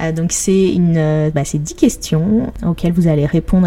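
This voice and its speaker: A woman speaks in a cheerful tone at a fairly slow pace, her fairly low voice keeping a fairly even intonation over noticeable background noise. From Paris, France. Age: 30s. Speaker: podcast host and blogger. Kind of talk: solo podcast monologue. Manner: cheerful, laughs often.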